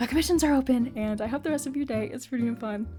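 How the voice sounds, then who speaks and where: A woman speaks at a very fast pace in a dark, mellow tone with a high pitch. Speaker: digital artist YouTuber. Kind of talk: casual voiceover commentary. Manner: animated.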